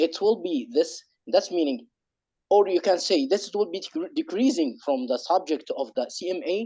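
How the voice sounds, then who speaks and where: A man with an Arabic accent speaks at a high pitch with very wide pitch swings. His tone is dark and mellow, and his pace is moderate. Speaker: webinar participant. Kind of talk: question at online webinar. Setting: online webinar. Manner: halting with many repetitions.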